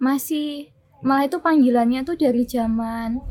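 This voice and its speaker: A woman speaks at a very slow pace. Her pitch is high, with ordinary pitch variation. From Yogyakarta, Indonesia (born in Austria, moved as small child). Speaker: writer. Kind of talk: casual interview chat. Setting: cafe.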